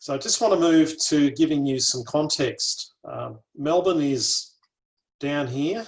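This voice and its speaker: A man's fairly high voice at a fairly slow pace. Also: ordinary pitch variation. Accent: Australian. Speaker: botanic garden curator. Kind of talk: lecture.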